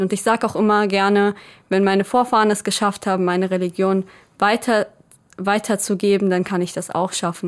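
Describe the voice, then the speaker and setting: Flat, monotone delivery from a woman at medium pitch and moderate pace, on a very clean recording with a silent background. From Germany, grew up from age two after birth in Israel. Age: 20s. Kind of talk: interview.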